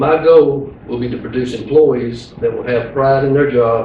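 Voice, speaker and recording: With an American accent, a man speaks at a medium pitch with fairly even intonation, and the recording carries audible room echo and noticeable background noise. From eastern North Carolina. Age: 50s. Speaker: sheriff candidate, police chief. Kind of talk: campaign speech, partly read from a news release. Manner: hurried.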